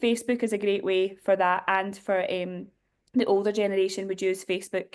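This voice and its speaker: A woman talks with a Glasgow accent. Her intonation is monotone and flat. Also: medium pitch for a woman, fairly quick pace. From Scotland, Glasgow; moved to Ireland at eleven. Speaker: diocesan youth director. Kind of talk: workshop talk. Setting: Zoom video call.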